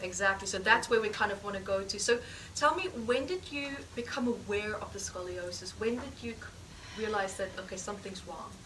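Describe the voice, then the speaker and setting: Through noticeable background noise and audible room echo, a woman's voice shows big swings in loudness. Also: medium pitch for a woman, ordinary pitch variation, fairly quick pace. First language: not English. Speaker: healing therapy teacher. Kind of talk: live teaching demonstration session. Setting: course room with live audience.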